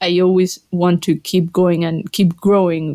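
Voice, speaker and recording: A woman with a Colombian accent talks at a fairly slow pace in a fairly low pitch and a flat monotone, the sound dry and close with no echo on a very clean recording with a silent background. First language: Spanish. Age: 20s. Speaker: panel member, graduate professional. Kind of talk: casual chat.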